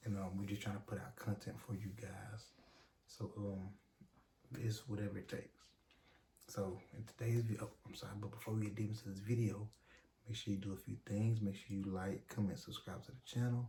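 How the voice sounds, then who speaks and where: A soft-spoken man talks at a fairly quick pace in a fairly low, somewhat breathy voice with a dark, mellow tone. His intonation is monotone and flat, and his pauses are long and frequent. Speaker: YouTube couple vlogger. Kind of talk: casual chat. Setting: at home at night.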